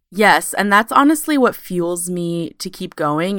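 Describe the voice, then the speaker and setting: This very clean recording with a silent background captures a woman's fairly low voice in an American accent. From US West Coast, Sacramento, California. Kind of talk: interview, casual conversation.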